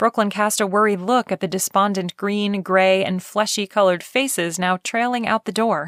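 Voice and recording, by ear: A natural voice reads the text aloud with intonation that is fairly even.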